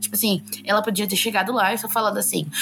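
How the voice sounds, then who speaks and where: Noticeable background noise runs under this clip. A woman speaks at a fairly quick pace and medium pitch. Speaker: podcast co-host. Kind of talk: casual chat.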